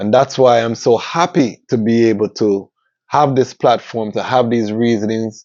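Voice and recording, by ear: A man's slightly mellow voice with ordinary pitch variation. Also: medium pitch for a man, moderate pace.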